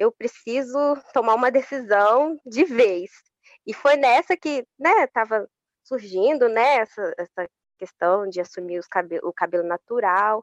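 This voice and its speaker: A woman uses an ordinary speaking voice, fairly high, with lively intonation at a fairly slow pace. The sound is dry and close, with no echo. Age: 20s. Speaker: public servant and social media influencer. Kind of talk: interview.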